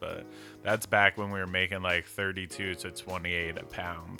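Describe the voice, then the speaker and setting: A man's very deep, low voice, monotone and flat, at a fairly slow pace over background music. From South Jersey, Philadelphia area. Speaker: cannabis grower, podcast co-host.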